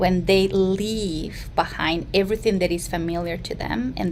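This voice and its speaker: A woman with a Mexican accent against noticeable background noise. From Mexico. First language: Spanish. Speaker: therapist. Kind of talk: interview.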